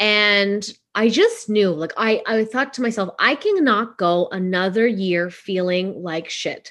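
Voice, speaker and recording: With an unremarkable speaking voice, a woman talks at a fairly slow pace and a medium pitch against a quiet background. Her pitch varies in an ordinary way, and she hardly pauses at all. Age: 40s. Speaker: business coach and podcast host. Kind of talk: casual monologue. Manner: conversational with many fillers.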